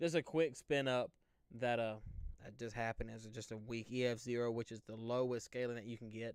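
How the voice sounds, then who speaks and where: A man talks with an Alabama accent. His pace is moderate and his intonation fairly even. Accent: Southern US (Alabama). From US South, Central Alabama. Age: 20s. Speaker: storm chaser and weather livestreamer. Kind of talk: casual live stream chat with viewers. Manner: casual, conversational.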